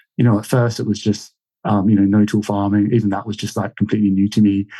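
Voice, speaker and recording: A man speaks in a dark, mellow tone with a slight Australian accent. The background is quiet. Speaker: market gardener. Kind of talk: interview. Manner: halting, many fillers.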